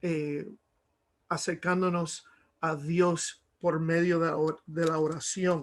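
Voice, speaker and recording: A man speaks in a high pitch with monotone, flat intonation. His pace is very slow. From Miami, Cuban-American family. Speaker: preacher. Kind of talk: sermon. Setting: video call. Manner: halting, many fillers.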